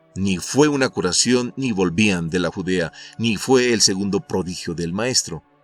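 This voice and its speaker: Very slow, fairly low-pitched male speech with lively intonation over music in the background. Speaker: narrator. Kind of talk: audiobook summary narration.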